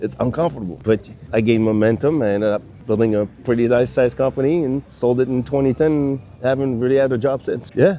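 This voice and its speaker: A man with a French accent talks at a very fast pace. His medium pitch shows ordinary variation. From France. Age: 60s. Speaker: business consultant. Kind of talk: casual chat.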